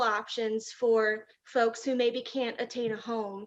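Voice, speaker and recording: A woman with a fairly high pitch talks in an unremarkable speaking voice. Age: young. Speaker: city council candidate. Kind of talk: political forum statement. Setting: public forum.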